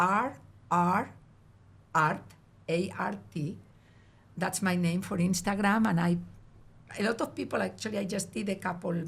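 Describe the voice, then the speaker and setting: A woman with a Spanish accent speaks at a moderate pace, medium in pitch with ordinary pitch variation. Her voice is somewhat breathy, with long, frequent pauses. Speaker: artist. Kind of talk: casual chat.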